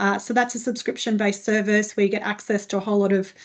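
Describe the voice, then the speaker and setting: A woman at medium pitch with an Australian accent, over a quiet background. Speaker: HR consultant. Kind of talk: webinar presentation. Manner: fast.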